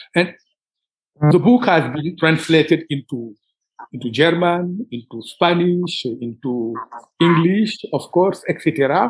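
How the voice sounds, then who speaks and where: A man with a Senegalese accent speaks in a high voice at a fairly slow pace. He leaves long, frequent pauses. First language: Wolof. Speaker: writer. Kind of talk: interview. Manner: halting.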